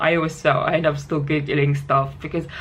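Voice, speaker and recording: The room echo can be heard, along with noticeable background noise. Through it, a woman talks at a moderate pace. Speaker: health vlogger with liver disease. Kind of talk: casual vlog talk. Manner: halting, many false starts.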